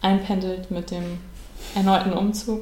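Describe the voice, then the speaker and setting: The intonation is monotone and flat. Noticeable background noise and audible room echo fill the recording. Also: woman. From Siebengebirge near Bonn, Germany. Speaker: amateur runner, online editor. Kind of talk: casual podcast interview. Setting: kitchen table.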